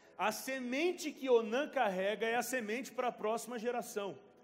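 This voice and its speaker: A man speaks at a moderate pace in an animated tone, with ordinary pitch variation. Music plays in the background, and the room gives an audible echo. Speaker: pastor. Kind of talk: sermon.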